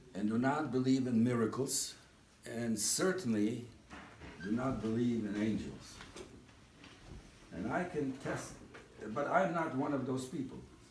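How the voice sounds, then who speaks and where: In a room with audible echo, a man of medium pitch speaks at a fairly slow pace with a somewhat breathy voice, ordinary pitch variation and long, frequent pauses. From Eastern Europe. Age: 80s+. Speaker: speaker at a community dinner. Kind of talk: speech.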